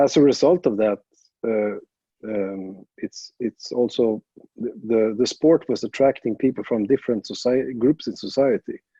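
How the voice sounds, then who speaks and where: A man with a Swedish accent speaks at a fairly slow pace, his medium-pitched voice dark and mellow, with ordinary pitch variation and a dry, close sound with no echo. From Sweden. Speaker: jiu jitsu coach. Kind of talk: interview. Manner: halting, many fillers and restarts.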